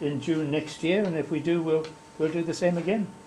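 Speaking in an Australian accent, a man has a fairly high pitch, fairly even intonation and a moderate pace, with light background noise. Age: old. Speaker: society officer; society office bearer giving report. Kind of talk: meeting report. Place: meeting room. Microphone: camera far.

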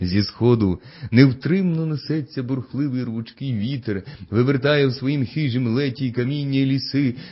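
Someone reads the text aloud. The reading is plain.

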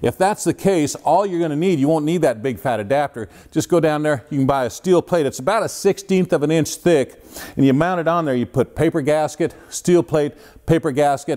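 The man talks at a fairly quick pace in a dark, mellow tone. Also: quiet background. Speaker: car show host. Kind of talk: tutorial. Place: garage.

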